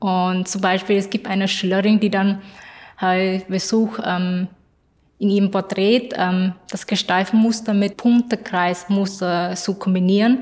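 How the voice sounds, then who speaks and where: A woman speaks in a flat, monotone way at a fairly slow pace, her pitch sitting in the medium range. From Vietnamese family, grew up between two cultures. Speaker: student teacher in art education. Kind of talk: interview. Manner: halting, many fillers and repetitions.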